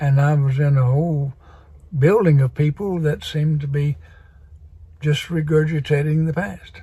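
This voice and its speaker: A man with a fairly high pitch speaks at a moderate pace with long, frequent pauses. His tone is dark and mellow, somewhat breathy, with fairly even intonation. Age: 80s+. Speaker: spiritual vlogger. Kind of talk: casual monologue. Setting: video recording.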